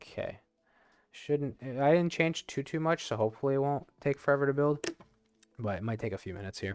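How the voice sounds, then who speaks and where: With music in the background, a man with a fairly high pitch and lively intonation speaks with long, frequent pauses. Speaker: game developer streamer. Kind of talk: live coding stream. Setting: live stream with webcam. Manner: fast; casual, many fillers.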